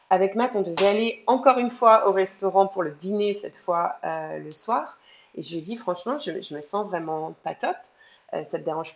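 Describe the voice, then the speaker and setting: A woman with an unremarkable speaking voice talks at a moderate pace, her medium pitch moving with ordinary variation. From France. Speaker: mother sharing birth story. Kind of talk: testimony.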